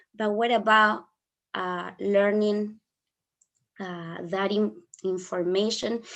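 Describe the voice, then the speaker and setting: In an Argentine accent, a woman speaks at a very slow pace in a monotone, flat intonation with long, frequent pauses over a quiet background. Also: medium pitch for a woman. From Argentina. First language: Spanish. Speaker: flower therapist and English teacher. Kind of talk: online workshop. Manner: halting.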